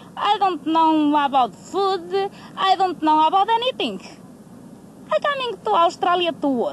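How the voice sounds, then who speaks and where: A woman speaks at an extremely high pitch with very wide pitch swings. Her pace is fairly slow, over noticeable background noise. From Portugal. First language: Portuguese. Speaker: uranium mine worker. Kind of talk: documentary interview. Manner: halting.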